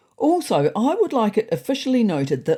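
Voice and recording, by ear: A woman talks at a moderate pace. Her tone is dark and mellow.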